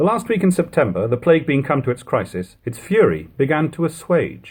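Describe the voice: Speaking at a fairly quick pace, a man with a fairly high pitch swings his pitch widely, his slightly mellow tone carrying a slightly husky edge.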